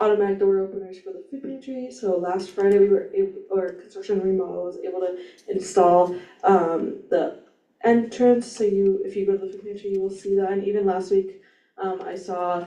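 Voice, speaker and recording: A woman with a dark, mellow tone and a medium pitch speaks at a moderate pace with fairly even intonation, big swings in loudness and audible room echo. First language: not English. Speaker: student senator. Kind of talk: meeting report.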